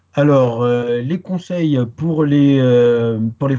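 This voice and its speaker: The speaker is a man at medium pitch. Ordinary variation marks his pitch. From Paris, France, Guadeloupean parents. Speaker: Arabic language teacher. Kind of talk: interview. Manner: hesitant, many fillers.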